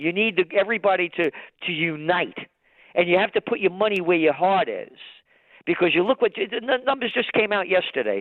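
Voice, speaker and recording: With a New York accent, a man talks at a fairly quick pace in a high pitch, with ordinary pitch variation. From New York City (Bronx). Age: 70s. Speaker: trend forecaster and publisher. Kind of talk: interview. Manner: animated; halting, repeats words.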